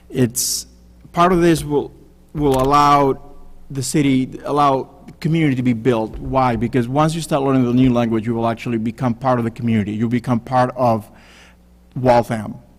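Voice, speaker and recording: At a moderate pace, a man speaks in a medium pitch with a Spanish accent. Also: ordinary pitch variation. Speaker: city council candidate. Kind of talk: candidate forum answer.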